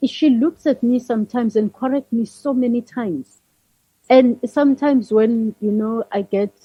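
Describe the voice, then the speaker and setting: High-pitched woman's voice in a South African accent, with ordinary pitch variation. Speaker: leadership consultant. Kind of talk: interview. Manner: slow.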